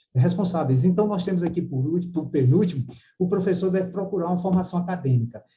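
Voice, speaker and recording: Talking at a very fast pace, a man has a high pitch with ordinary pitch variation and a dark, mellow tone. Room echo is audible. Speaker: university professor giving a lecture. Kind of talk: lecture. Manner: hesitant with many fillers.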